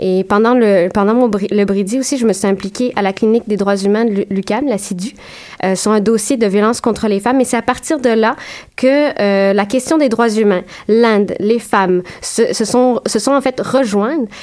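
In a Quebec accent, a woman of fairly high pitch speaks at a moderate pace with ordinary pitch variation. Her loudness stays very even. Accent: Québécois French. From Quebec, Saint-Jérôme. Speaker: graduate student researcher. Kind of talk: radio interview.

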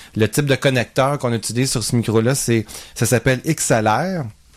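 This man has a normal speaking voice at medium pitch with ordinary pitch variation, on a very clean recording with a silent background. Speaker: podcast co-host, works in television. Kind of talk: product review.

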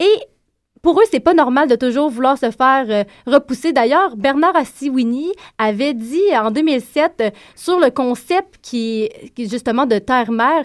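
A woman speaks in a high voice with lively intonation at a fairly slow pace. The recording is very clean, with a silent background. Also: dry, close sound with no echo. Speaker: radio columnist. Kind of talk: prepared radio segment. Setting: studio.

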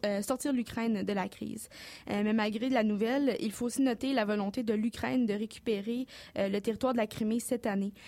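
Fairly quick, fairly even-toned speech from a woman with a fairly high pitch. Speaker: news columnist. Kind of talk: news report. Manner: fast.

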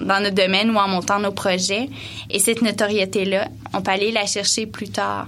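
Speaking at a fairly slow pace, a woman uses a medium pitch and fairly even intonation, with room echo audible. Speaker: event coordinator. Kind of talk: radio interview.

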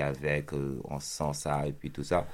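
A man with a Senegalese accent. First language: Pulaar (speaking French). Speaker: rapper. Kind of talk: interview. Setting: studio.

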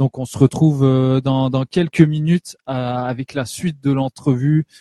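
A man's fairly high pitch with a dark, mellow tone, fairly even intonation and a moderate pace, in a dry, close sound with no echo. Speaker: radio host. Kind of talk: radio interview. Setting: studio. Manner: friendly, hesitant.

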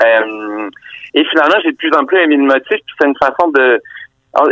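A man speaks in a dry, close sound with no echo. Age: 40s. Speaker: novelist. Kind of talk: interview. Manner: halting.

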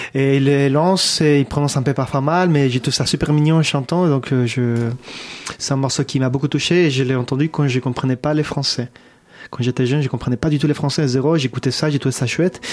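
A man speaks in an unremarkable speaking voice, fairly high in pitch, at a fairly quick pace. His loudness stays very even and his intonation fairly even. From abroad, not France. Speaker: musician. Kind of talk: interview chat. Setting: studio.

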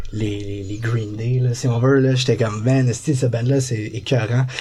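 With a Quebec accent, a man speaks at medium pitch in a flat, monotone way, his dark, mellow tone somewhat breathy. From Laval, Quebec. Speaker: band member musician.

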